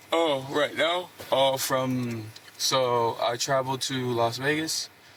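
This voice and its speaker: Noticeable background noise sits behind a man speaking at a very slow pace and medium pitch. His intonation is fairly even and his loudness very even. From Puerto Rico. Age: 20s. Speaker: traffic stop suspect. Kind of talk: police questioning. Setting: inside a police car.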